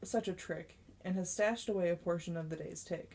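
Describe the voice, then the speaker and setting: A woman speaks at a moderate pace in a fairly low, somewhat breathy voice with a dark, mellow tone. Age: 20s. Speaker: amateur audiobook narrator. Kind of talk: reading aloud. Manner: occasional stumbles and self-corrections.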